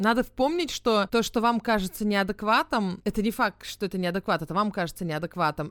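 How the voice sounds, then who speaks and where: With ordinary pitch variation and a moderate pace, a woman talks in an ordinary speaking voice. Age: 30s. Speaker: podcast co-host. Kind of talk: casual chat.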